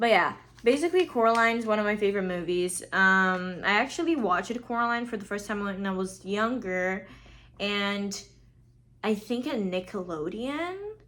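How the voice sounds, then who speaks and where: Animated and bright, a woman speaks with a sharp tone at a medium pitch. She keeps a moderate pace and ordinary pitch variation. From Brazil. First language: Portuguese. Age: 20s. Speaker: podcast host, film student. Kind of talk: casual chat.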